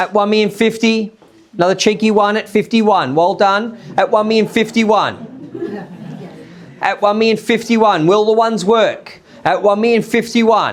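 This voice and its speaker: A man speaks at a high pitch and a moderate pace with monotone, flat intonation. His loudness stays very even over noticeable background noise. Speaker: auctioneer. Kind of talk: live auction calling.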